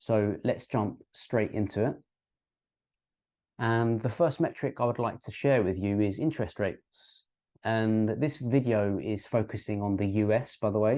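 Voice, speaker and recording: A man with a British accent at a fairly slow pace, medium pitch, ordinary pitch variation, and a dark, mellow tone against a quiet background. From UK. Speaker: crypto and finance YouTuber. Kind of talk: educational explainer with graphs. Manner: hesitant, many ums and uhs.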